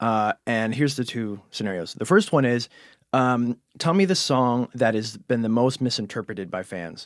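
A man with a Cleveland accent and lively intonation, in a dry, close sound with no echo. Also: medium pitch for a man, moderate pace. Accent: Cleveland, Ohio. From Cleveland, Ohio. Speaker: magazine podcast interviewer. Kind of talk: casual interview chat. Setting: studio.

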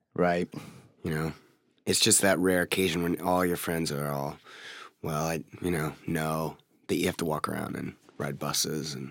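At a moderate pace broken by long, frequent pauses, a man with an American accent speaks in a very deep, low pitch and monotone, flat intonation, on a very clean recording with a silent background. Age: 20s. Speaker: rock singer. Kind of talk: casual interview. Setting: studio.

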